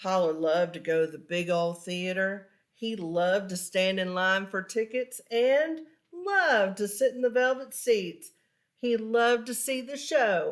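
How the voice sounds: A woman speaks at a slow pace. Her medium pitch shows ordinary variation.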